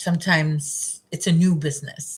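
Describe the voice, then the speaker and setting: A woman speaks in a normal speaking voice with an American accent. Her pitch is fairly low, and her pace is fairly slow. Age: 30s. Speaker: crochet streamer. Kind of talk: casual chat. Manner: conversational, repetitive.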